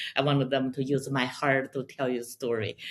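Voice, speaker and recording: A woman with a Chinese accent talks in a very deep, low pitch. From China. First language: Mandarin Chinese. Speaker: pipa player and composer. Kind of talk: interview conversation.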